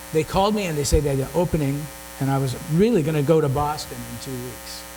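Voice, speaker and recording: At a very fast pace, a man speaks in a fairly high pitch with ordinary pitch variation. There is audible room echo and noticeable background noise. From San Francisco Bay Area. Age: 60s. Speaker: musician. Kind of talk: casual chat. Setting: stage with audience.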